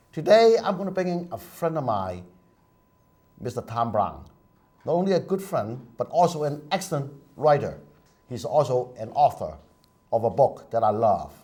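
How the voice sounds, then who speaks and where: A man talks in a dark, mellow tone with vocal fry and very wide pitch swings. Long pauses come often. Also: fairly high pitch for a man, moderate pace. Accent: Chinese. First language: Chinese. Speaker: TV talk show host. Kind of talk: TV talk show interview.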